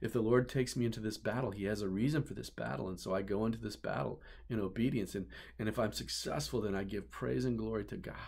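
At a fairly quick pace, a man with a warm tone and vocal fry speaks in a fairly low pitch over a quiet background. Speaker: pastor. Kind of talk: sermon. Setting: office, filmed video message. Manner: earnest, warm preacherly delivery building by repetition ("You're the one"). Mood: earnest, heartfelt. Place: office. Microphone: webcam.

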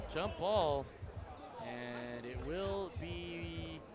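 An energetic tone over noticeable background noise. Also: man. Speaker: basketball commentator. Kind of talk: live sports commentary. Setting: courtside at the tournament, broadcasting live. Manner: energetic, rattling off names and scores.

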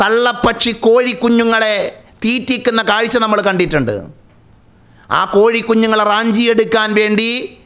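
The man's high-pitched voice holds a monotone, flat intonation. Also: very even loudness. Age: 30s. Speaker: Islamic religious teacher. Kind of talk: religious lecture. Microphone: studio mic.

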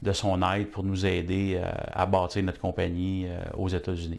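A man speaks with a Quebec accent in a very deep, low pitch. His intonation is monotone and flat, and his pace is fairly slow. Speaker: business owner. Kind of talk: testimonial. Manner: halting, many fillers. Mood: warm, satisfied. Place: office.

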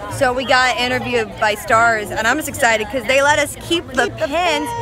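A woman uses a raised, projected voice at a moderate pace with ordinary pitch variation, the sound dry with no echo and clear music in the background. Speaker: fan vlogger. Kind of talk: casual vlog chat. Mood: playful, excited. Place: street. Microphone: phone near.

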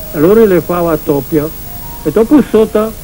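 With music in the background, a man with a high pitch speaks at a fairly slow pace with ordinary pitch variation. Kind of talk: dialect interview answer.

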